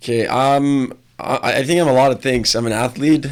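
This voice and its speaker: This is a man speaking. His pace is moderate and his intonation fairly even. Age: 20s. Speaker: athlete and entrepreneur. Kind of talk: casual interview chat.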